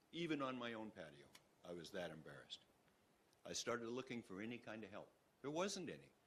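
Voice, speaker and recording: A man at a very fast pace, medium in pitch, with vocal fry, very wide pitch swings and long, frequent pauses. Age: 70s. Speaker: male breast cancer survivor and advocate. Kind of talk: public testimony at a board meeting.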